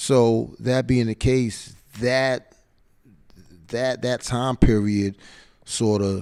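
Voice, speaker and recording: In an American accent, a man talks at a very slow pace with a monotone, flat intonation and long, frequent pauses. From split between New York City and Atlanta area. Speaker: hip hop event host. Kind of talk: interview. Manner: high energy.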